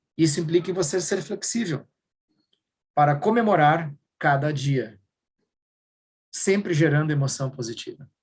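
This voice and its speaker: This man's somewhat breathy voice sits at a fairly high pitch and carries lively intonation. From southern Brazil, Rio Grande do Sul. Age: 50s. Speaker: workshop speaker. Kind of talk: workshop talk.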